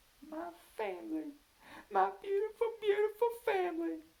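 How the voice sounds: The speaker uses a put-on character voice with a Southern accent, pitched extremely high. The pace is moderate.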